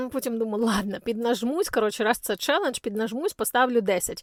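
A woman's high-pitched voice comes through a dry, close sound with no echo on a very clean recording with a silent background. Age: 40s. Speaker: blogger. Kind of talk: vlog monologue. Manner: fast.

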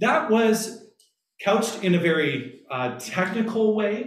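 A man is speaking. There is audible echo in the room. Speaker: pastor giving a lecture. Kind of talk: lecture. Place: meeting room. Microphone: camera far.

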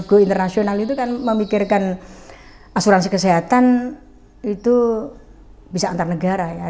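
The speaker is a woman, talking at a moderate speed. Ordinary pitch variation runs through her speech. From Central Java, Pekalongan; Central Java, Indonesia. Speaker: former regent; guest. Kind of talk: interview. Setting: at home. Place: home room. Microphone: lapel.

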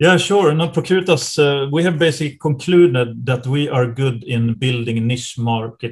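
A man speaks with a Swedish accent at a moderate pace, his voice somewhat breathy. The background is quiet. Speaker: private equity partner. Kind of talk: interview. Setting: video call. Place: office. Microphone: webcam.

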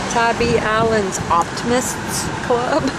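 Loud background noise fills a dry recording that has no echo. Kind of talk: casual vlog chat. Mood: cheerful, amused. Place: car. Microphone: phone near.

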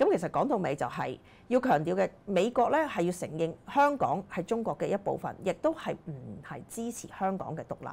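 A woman talks at a moderate pace. Her pitch swings very widely. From Hong Kong. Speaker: political commentator; political commentary host. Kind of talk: political commentary monologue; commentary. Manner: frequent fillers and hesitations. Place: studio. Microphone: lapel.

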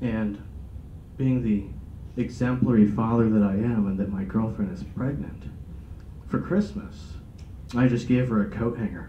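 With an American accent and a fairly low pitch, a man talks at a moderate pace with lively intonation and long, frequent pauses, amid light background noise and audible room echo. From Sacramento, California. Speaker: stand-up comedian. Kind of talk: stand-up comedy, dark one-liners with a live audience. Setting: stage with audience. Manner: cocky, shock-humor banter with the audience. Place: meeting room. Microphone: camera far.

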